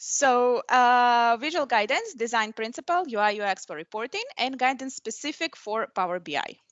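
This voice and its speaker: With a non-native accent, a woman talks at a moderate pace in a fairly high pitch, her intonation lively. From Middle East. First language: not English. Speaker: software program manager and conference speaker. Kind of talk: technical presentation. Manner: hesitant, many fillers.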